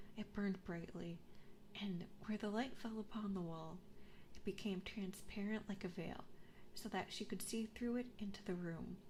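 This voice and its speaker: A woman whispers in a soft-spoken, somewhat breathy way. Her tone is soothing and her pace moderate. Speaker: ASMR vtuber streamer. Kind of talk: storybook reading, fairy tale narration. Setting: binaural 3D microphone. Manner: soft, soothing, whispered.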